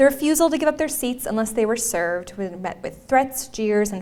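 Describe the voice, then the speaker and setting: Fairly quick and fairly high-pitched, a woman with a Minnesotan accent talks through noticeable background noise and audible room echo. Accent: Minnesota. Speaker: history professor. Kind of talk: lecture. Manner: uses fillers like um and uh.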